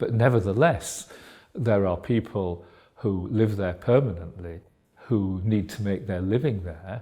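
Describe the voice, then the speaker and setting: A man with a Yorkshire accent speaks at a fairly slow pace in a fairly low, somewhat breathy voice with a dark, mellow tone and ordinary pitch variation, on a very clean recording with a silent background. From Yorkshire, England. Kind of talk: interview. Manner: halting, many fillers.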